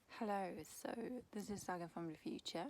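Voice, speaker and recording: A woman's medium-pitched voice with a Swedish accent. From Sweden. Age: 20s. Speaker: chronic illness vlogger. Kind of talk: casual vlog monologue.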